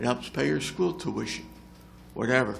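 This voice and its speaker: In an American accent, a man of medium pitch talks at a moderate pace with vocal fry, and audible room echo surrounds him. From New Jersey (South Jersey). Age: 70s. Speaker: retired volunteer firefighter and EMS veteran. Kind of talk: public comment at council meeting. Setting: council meeting room with audience.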